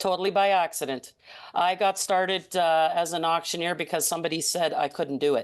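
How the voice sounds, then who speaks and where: A woman speaks in an ordinary speaking voice, fairly low and fairly even in intonation. Her pace is fairly quick over a quiet background. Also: very even loudness. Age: 60s. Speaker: charity auctioneer and host. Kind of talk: interview. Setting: video call.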